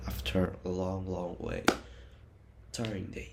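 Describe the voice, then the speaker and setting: With an Indonesian accent, a man talks at a very deep, low pitch amid audible room echo. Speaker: university student. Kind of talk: personal vlog narration.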